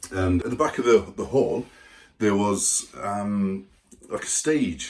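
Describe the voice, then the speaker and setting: A somewhat breathy voice with ordinary pitch variation and an English accent. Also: man. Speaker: army veteran and YouTuber. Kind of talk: casual vlog storytelling.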